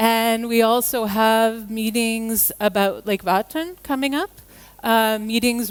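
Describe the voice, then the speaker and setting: Very slowly, a woman with an American accent speaks in a fairly high pitch. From United States. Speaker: environmental lawyer. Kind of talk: conference talk.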